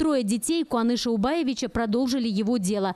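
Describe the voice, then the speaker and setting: At a moderate pace, a woman speaks with a dark, mellow tone and a fairly high pitch. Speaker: TV news reporter. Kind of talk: TV news report voice-over.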